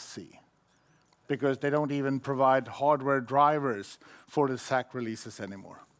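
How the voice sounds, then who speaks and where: At a moderate pace, a man with a Swedish accent speaks in a fairly high pitch. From Sweden. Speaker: IT conference speaker. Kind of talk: conference talk.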